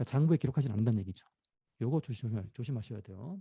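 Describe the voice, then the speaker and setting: A man's dark, mellow tone, somewhat breathy, in a dry, close sound with no echo and a quiet background. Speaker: professor. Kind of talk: lecture. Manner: fast.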